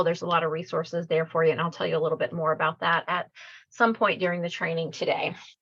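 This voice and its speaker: Fairly low pitch from a woman. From Louisiana, Cajun. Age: 50s. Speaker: clinical social worker and trainer. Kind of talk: online training presentation.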